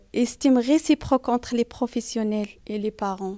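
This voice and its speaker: A woman's dark, mellow tone with fairly even intonation, in a very clean recording with a silent background. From outside France. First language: not French (speaking French). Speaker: parent in a community research group. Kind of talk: interview. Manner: halting, many hesitations.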